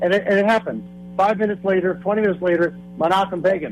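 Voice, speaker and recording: A man talks at a very fast pace in a high pitch. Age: 60s. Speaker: caller. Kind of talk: call-in comment.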